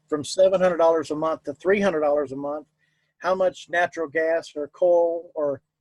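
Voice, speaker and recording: In a Southern US accent, a man with a high pitch speaks with fairly even intonation in a dry, close recording with no echo. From US South. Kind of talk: interview.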